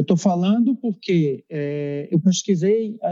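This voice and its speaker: In a dry, close sound with no echo, a man speaks with a high pitch and a dark, mellow tone. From Brazil, Recife (Pernambuco). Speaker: dentist. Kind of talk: casual interview. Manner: halting, with frequent repetitions.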